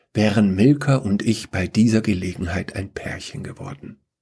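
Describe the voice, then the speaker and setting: A man's voice has a dark, mellow tone. It sounds somewhat breathy. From Upper Bavaria. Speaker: podcast host and author. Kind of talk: reading aloud a short story.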